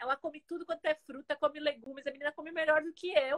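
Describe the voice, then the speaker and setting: High-pitched and very fast, a woman's voice comes through with a dry, close sound and no echo. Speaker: organization consultant. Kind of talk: live stream conversation. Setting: video call.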